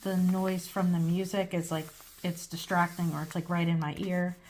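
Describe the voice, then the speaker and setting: Her voice is somewhat breathy and sits at a fairly low pitch. The woman's intonation is monotone and flat. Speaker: crafter. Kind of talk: tutorial. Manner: casual, with many fillers.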